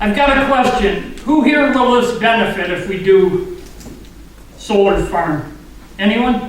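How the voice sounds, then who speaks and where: A man speaks loudly at a fairly slow pace, his voice pitched high with lively intonation, over noticeable background noise and audible room echo. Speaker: public commenter at township meeting. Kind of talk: public comment at meeting. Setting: township meeting hall with audience.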